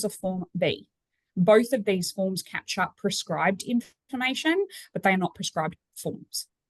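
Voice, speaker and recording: The sound is dry and close with no echo as a woman speaks at a moderate pace, her medium-pitched voice somewhat breathy and varying in pitch in an ordinary way. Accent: Australian. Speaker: cemetery trust general manager. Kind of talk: webinar presentation.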